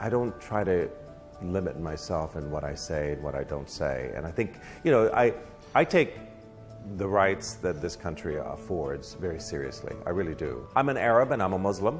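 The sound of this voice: A man's low voice at a moderate pace with big pitch swings and faint music in the background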